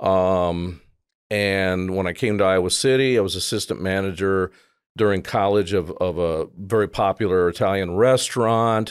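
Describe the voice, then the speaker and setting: With an American accent, a man speaks at a moderate pace in a very deep, low pitch with fairly even intonation. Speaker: advertising and media producer, musician. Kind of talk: casual interview chat.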